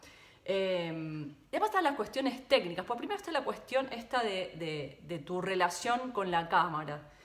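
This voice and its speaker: Very wide pitch swings at a moderate pace come through audible room echo and noticeable background noise. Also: woman. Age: 40s. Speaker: podcast host, former TV reporter. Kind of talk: solo podcast monologue. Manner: halting.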